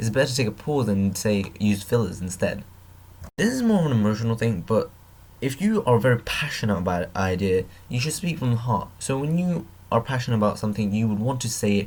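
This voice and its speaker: The voice is somewhat breathy and moves at a very fast pace. Its pitch varies in an ordinary way. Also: man, medium pitch for a man. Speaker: YouTuber giving advice. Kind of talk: tutorial. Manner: not projecting, quiet; halting, many fillers.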